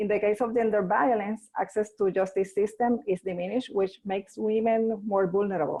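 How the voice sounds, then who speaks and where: The speaker is a woman with a Spanish accent. She keeps a moderate pace. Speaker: NGO leader. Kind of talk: webinar presentation. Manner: halting.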